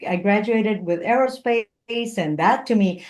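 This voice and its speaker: A woman talks in a Spanish accent. Her pace is moderate and her pitch variation ordinary. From Puerto Rico. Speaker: engineer, motivational speaker and comedian. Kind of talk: interview conversation. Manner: animated.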